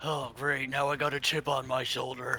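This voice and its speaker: Using a put-on character voice, a man speaks raspily at a medium pitch and moderate pace, his intonation flat and monotone. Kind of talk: game master voicing a character.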